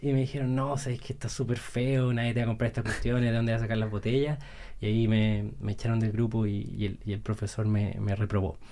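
Speaking at a very fast pace, a man has a dark, mellow tone. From Chile, Santiago; Chile. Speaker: entrepreneur; podcast guest. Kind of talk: casual chat. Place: studio. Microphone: studio mic.

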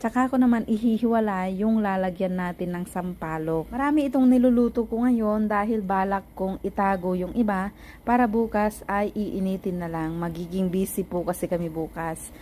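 A woman's medium-pitched voice, dark and mellow in tone, at a moderate pace with ordinary pitch variation and hardly any pauses. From Philippines, Ilocos region. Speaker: cooking vlogger. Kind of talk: cooking tutorial voiceover.

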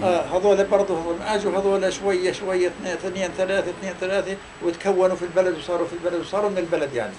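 A high-pitched man at a very fast pace, flat and monotone, with hardly any pauses and noticeable background noise. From Palestine, Tall al-Safi village near Hebron. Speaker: Nakba refugee, oral history witness. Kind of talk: interview answer. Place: home room.

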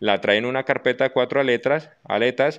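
The background is quiet. Against it, a man talks at a moderate pace. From Colombia. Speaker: army officer, head of military recruitment zone. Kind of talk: interview. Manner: formal. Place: office. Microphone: handheld.

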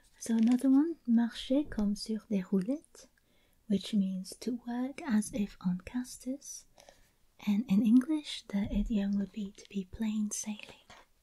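A woman speaks fairly slowly in a somewhat breathy voice with a dark, mellow tone and ordinary pitch variation over a quiet background. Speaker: ASMR creator. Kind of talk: soft-spoken show-and-tell haul. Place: home room. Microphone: studio mic.

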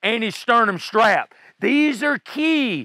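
A man speaks in a raised, projected voice with a bright, sharp tone. The sound is dry, with no echo. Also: quiet background. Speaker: fitness coach. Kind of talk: tutorial. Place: forest.

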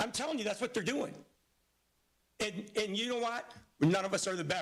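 Loud and animated, a man with an American accent talks at a very fast pace, using a high pitch with ordinary pitch variation. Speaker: school board member. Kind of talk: heated debate. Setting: public board meeting.

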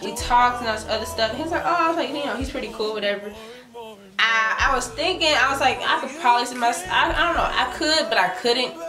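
A high-pitched woman talking at a very fast pace, with clear music in the background. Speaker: vlogger. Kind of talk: casual vlog chat. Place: home room. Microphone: camera far.

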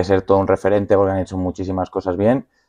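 This man's voice sits fairly low, with a dark, mellow tone. Behind him the background stays quiet. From Spain, Madrid (Fuenlabrada). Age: 20s. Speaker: professional footballer. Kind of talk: casual interview. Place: studio.

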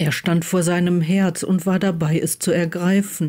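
A woman's very slow, monotone delivery, fairly low in pitch with a dark, mellow tone and flat intonation

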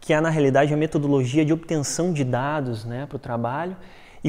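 This man speaks with a fairly high pitch, a fairly quick pace and fairly even intonation. The background is quiet. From Brazil, Rio de Janeiro coast; Rio de Janeiro, Brazil. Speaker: archaeology researcher; conference presenter. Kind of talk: research talk; lecture. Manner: fast; hesitant, many filler words. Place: hall.

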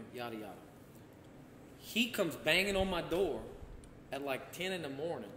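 A man speaks at a moderate pace and a fairly high pitch, with very wide pitch swings and long, frequent pauses. The room echoes audibly, and light background noise is present. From Louisiana. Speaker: former state senator. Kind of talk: casual chat. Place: home room. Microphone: camera far.

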